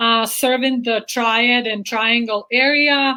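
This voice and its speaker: This woman speaks with a non-native accent. Her voice sits at a high pitch. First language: not English. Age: 30s. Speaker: chiropractor. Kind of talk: interview.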